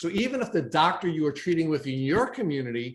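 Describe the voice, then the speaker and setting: A man with an American accent and an ordinary speaking voice talks at a moderate pace. His pitch is fairly high and his intonation lively. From New York. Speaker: podcast host. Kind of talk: interview.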